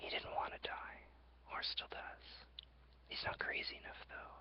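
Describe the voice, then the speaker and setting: The voice is a whisper. Noticeable background noise is present too. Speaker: ASMR creator. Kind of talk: ASMR journal reading. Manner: whispered.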